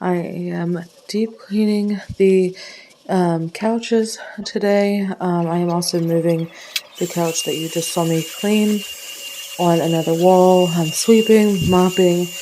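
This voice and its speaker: Over noticeable background noise, a woman speaks very slowly. Her medium-pitched voice keeps a fairly even intonation. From Ohio. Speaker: stay-at-home mom vlogger. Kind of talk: vlog intro. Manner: casual, hesitant with fillers.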